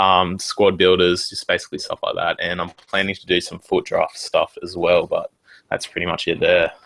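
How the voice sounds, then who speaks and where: Recorded dry and close with no echo, a man with an Australian accent talks at a moderate pace, his loudness swinging a lot. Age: 20s. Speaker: gaming YouTuber. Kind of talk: casual chat.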